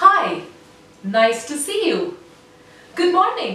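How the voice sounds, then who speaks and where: A woman uses a put-on character voice, nasal and extremely high in pitch, with very wide pitch swings. She speaks very slowly, with audible echo. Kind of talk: greeting. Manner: friendly, ending on a higher note.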